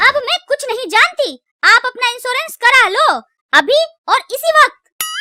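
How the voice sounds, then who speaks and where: A woman's cartoonish character voice, extremely high in pitch, with lively intonation and a moderate pace over background music. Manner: sarcastic, grumbling.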